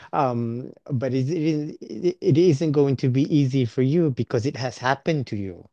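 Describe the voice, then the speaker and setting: With a dark, mellow tone, a man talks at a fairly slow pace. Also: medium pitch for a man, ordinary pitch variation, hardly any pauses, dry, close sound with no echo. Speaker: podcast host. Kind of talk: show outro; casual interview.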